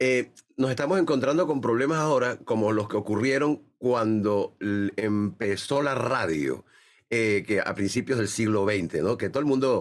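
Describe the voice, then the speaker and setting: In a very clean recording with a silent background, a man with an ordinary speaking voice talks at a moderate pace, medium in pitch, with ordinary pitch variation and very even loudness. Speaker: radio announcer and university lecturer. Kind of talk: interview answer.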